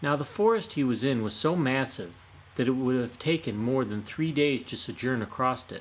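The plain reading aloud carries ordinary pitch variation throughout.

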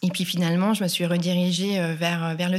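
A woman speaks with a fairly low pitch. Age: 40s. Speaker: sustainable fashion consultant. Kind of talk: interview. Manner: halting, frequent fillers and repetitions.

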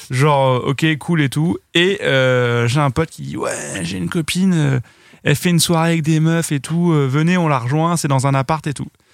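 Man with a plain, everyday voice, fairly high in pitch, at a moderate pace with ordinary pitch variation. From western France (Noirmoutier, Vendée). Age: 30s. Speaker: web video creator. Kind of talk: casual chat.

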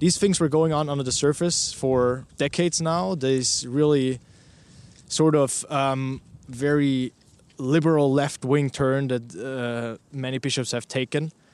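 This man talks at a medium pitch with a German accent and fairly even intonation. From Austria, Vienna. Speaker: news reporter. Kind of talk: interview. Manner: halting, many fillers.

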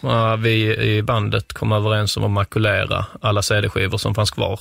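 In a put-on character voice, a man speaks at a fairly low pitch. The voice is raspy, with a moderate pace. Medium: comedy sketch. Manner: pedantic, condescending.

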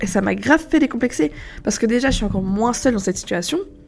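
This woman talks at a very fast pace. Her voice is fairly high, with ordinary pitch variation. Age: 20s. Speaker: podcaster. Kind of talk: casual monologue. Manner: casual, hesitant with fillers.

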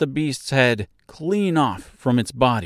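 A plain reading aloud, delivered straight through.

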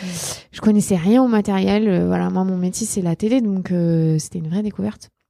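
Her voice is a woman's, medium in pitch, with a dark, mellow tone. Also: ordinary pitch variation, moderate pace. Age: 30s. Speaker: journalist and podcaster. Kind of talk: casual interview chat. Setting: meeting room. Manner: loud.

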